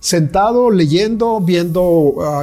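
The man's voice has a dark, mellow tone. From Mexico. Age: 60s. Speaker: visual artist. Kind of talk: interview. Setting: artist's studio.

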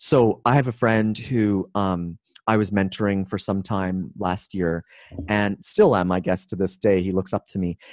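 A man with a Canadian accent has an unremarkable speaking voice, fairly low in pitch and fairly even in intonation. He talks at a fairly slow pace in a dry, close sound with no echo. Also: very clean recording, silent background. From Canada. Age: 40s. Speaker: business coach and keynote speaker. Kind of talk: casual interview.

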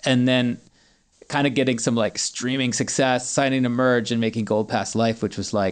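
Speaking at medium pitch, a man talks with an American accent. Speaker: singer-songwriter. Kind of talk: casual interview.

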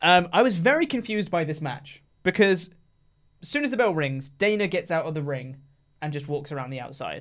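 With an English accent, a man at a high pitch talks at a fairly quick pace, his loudness swinging widely. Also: lively intonation. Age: 20s. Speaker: wrestling podcast co-host. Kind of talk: casual chat.

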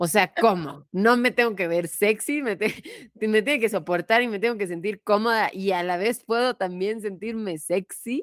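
This woman has a medium pitch. The recording is very clean with a silent background, and the sound is dry and close with no echo. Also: ordinary pitch variation, moderate pace. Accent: Mexican. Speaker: podcast host. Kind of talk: casual chat.

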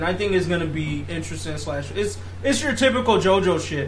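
Room echo is audible and background noise noticeable. Through it, a man talks at a medium speed. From Africa. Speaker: podcast host. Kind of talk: casual chat.

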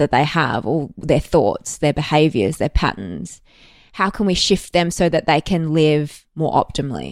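The speaker has an Australian accent and ordinary pitch variation. The recording is very clean with a silent background and a dry, close sound with no echo. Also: woman. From Australia, Melbourne. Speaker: actor. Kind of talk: casual chat.

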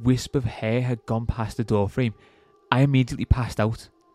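A man at a medium pitch and moderate pace, in a dry, close sound with no echo and music in the background. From England. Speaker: podcast host. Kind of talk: horror story narration, read aloud in a hushed, suspenseful storytelling voice. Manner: casual, joking banter in between stories.

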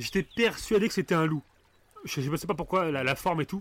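Vocal fry runs through this fairly quick, lively-sounding delivery, recorded dry and close with no echo. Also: man. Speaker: podcast host. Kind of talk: casual chat. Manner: storytelling voice.

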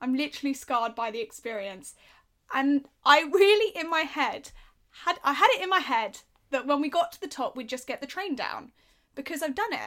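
A woman speaks in a raised, projected voice, high-pitched with a bright, sharp tone, her intonation lively and her pace moderate. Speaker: podcast co-host. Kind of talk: casual chat.

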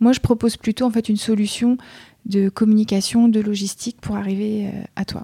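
With a dark, mellow tone and a fairly high pitch, a woman talks at a moderate pace, somewhat breathy and fairly even in intonation, in a dry, close sound with no echo. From France, Mayenne. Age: 40s. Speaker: entrepreneur. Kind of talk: interview. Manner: hesitant.

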